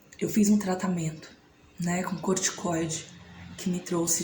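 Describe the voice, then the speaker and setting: With audible room echo and noticeable background noise, a woman speaks at a medium pitch in flat, monotone intonation. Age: 30s. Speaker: vlogger. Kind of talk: personal testimony.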